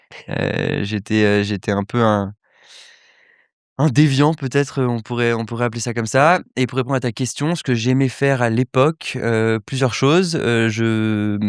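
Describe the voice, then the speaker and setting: Speaking at a fairly slow pace, a man uses ordinary pitch variation. The recording is very clean and dry, close with no echo, over a silent background. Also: medium pitch for a man. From Paris, France (early childhood near Cannes/Nice). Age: 20s. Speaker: entrepreneur, accelerator founder. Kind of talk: podcast interview. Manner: hesitant, many fillers.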